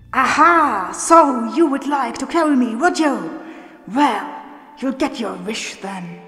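With clear music in the background and a slight echo, a woman uses a high-pitched, put-on character voice at a fairly slow pace. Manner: menacing, gloating.

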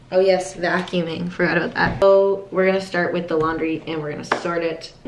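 A woman talks with a fairly low pitch and fairly even intonation. The room echoes audibly, and light background noise sits underneath. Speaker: vlogger. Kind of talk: casual vlog chat. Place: home room. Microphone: phone near.

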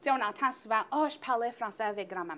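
Her bright, sharp tone carries a lively intonation as the woman speaks. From Northern Ontario, Greater Sudbury area. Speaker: early childhood educator. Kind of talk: casual interview. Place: studio. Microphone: lapel.

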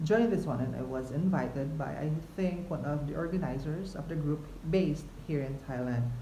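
At a moderate pace with ordinary pitch variation, the voice carries audible room echo over light background noise. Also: man. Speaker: travel vlogger. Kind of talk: casual vlog chat. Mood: excited, chatty. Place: home room. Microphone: phone near.

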